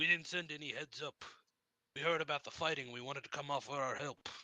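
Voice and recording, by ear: A man puts on a character voice with a fairly high pitch. He talks at a very fast pace.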